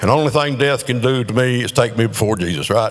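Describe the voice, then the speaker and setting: Over noticeable background noise, a man with a Southern US accent talks at a moderate pace with lively intonation. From North Carolina. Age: 70s. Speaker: amateur comedian. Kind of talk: stand-up. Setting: stage with audience.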